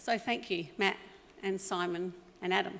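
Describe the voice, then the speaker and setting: The speech comes at a fairly slow pace with an Australian accent. The recording is very clean, with a silent background. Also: woman. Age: 60s. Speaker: business owner. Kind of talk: acceptance speech. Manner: unscripted, with fillers.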